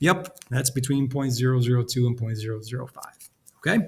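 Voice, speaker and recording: A man's somewhat breathy voice at a medium pitch. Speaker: statistics teacher. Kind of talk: lecture. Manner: fast.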